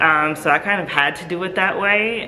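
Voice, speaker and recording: A woman talks with fairly even intonation. Audible room echo and noticeable background noise are present. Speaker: nonprofit founder. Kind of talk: interview. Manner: casual, hesitant with fillers.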